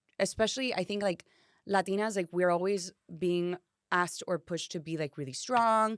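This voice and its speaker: A woman with a Spanish accent speaks at a fairly quick pace and medium pitch with ordinary pitch variation, in a very clean recording with a silent background and a dry, close sound with no echo. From Miami, US. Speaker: actress and singer. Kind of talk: casual chat. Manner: animated.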